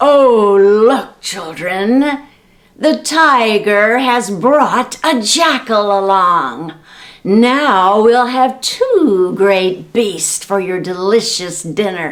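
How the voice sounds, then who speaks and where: The speaker puts on a character voice. The pace is very slow. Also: woman, medium pitch for a woman. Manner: scary, menacing.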